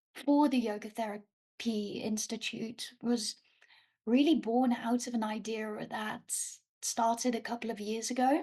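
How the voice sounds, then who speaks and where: A woman speaks at a very slow pace. Her fairly high pitch stays monotone and flat. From Netherlands. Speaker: yoga teacher trainer. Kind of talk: casual interview conversation.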